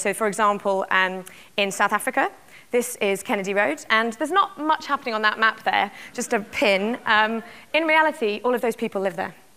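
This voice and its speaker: Lively intonation and a bright, sharp tone mark this voice with a British accent. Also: woman. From UK. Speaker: tech company executive. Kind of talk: keynote talk. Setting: conference stage with audience.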